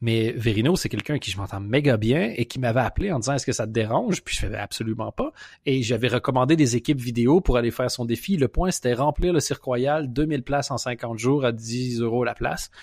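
In a very clean recording with a silent background and a dry, close sound with no echo, a plain, everyday voice moves at a fairly quick pace with ordinary pitch variation. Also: man, medium pitch for a man, hardly any pauses. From Quebec. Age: 30s. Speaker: comedian. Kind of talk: casual chat. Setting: call from abroad.

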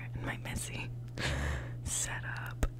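Loud background noise surrounds a woman's voice. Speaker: college student living in a dorm. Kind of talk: ASMR dorm tour, casual talk to camera. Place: home room. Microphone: phone near.

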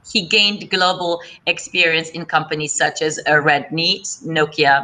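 Delivered at a fairly slow pace, the voice has a bright, sharp tone. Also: woman. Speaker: webinar moderator, business executive. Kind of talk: moderating an online panel discussion. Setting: online webinar. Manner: formal.

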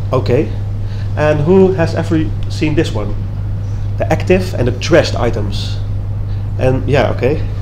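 A man with a Dutch accent at a fairly slow pace, amid noticeable background noise. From Netherlands. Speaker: web developer. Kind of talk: conference talk. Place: hall.

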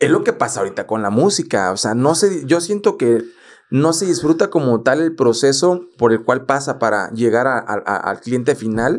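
This man talks at a moderate pace in a medium pitch, his voice swinging very widely up and down. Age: 30s. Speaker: podcast host and photographer; podcast host. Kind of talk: casual chat. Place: studio. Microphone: studio mic.

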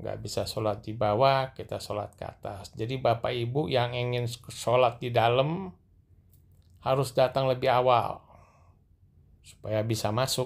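Fairly slow and with fairly even intonation, a man speaks at a medium pitch with vocal fry.

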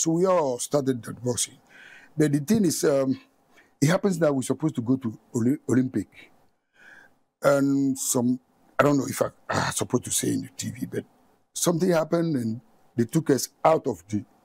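With a dark, mellow tone and a fairly high pitch, a man speaks with long, frequent pauses in a dry sound with no echo. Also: ordinary pitch variation, moderate pace. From Ghana. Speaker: boxing coach; coach, guest. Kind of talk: studio interview. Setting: studio. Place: studio. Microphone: lapel.

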